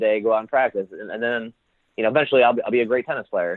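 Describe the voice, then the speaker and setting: The speaker is a man with a medium-pitched voice. He has an American accent. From Indiana, USA. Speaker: entrepreneur, social club founder. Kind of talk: interview answer.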